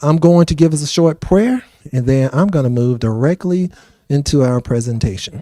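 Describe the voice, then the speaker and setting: A man with an American accent, fairly high-pitched, with a dark, mellow tone, ordinary pitch variation and a moderate pace. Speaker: city finance official. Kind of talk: public presentation. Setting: town hall meeting with audience.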